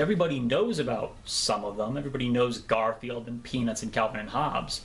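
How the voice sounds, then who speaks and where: A man with an ordinary speaking voice, fairly quick pace and lively intonation. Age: 20s. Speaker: online comic strip critic. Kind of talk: documentary interview.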